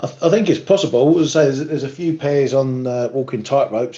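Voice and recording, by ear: A man's raspy voice at medium pitch, dark and mellow in tone, with fairly even intonation at a fairly quick pace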